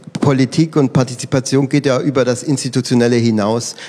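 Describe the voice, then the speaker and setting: Over noticeable background noise, a man talks at a fairly quick pace with medium pitch and fairly even intonation. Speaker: political scientist. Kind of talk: panel discussion. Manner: halting, many fillers.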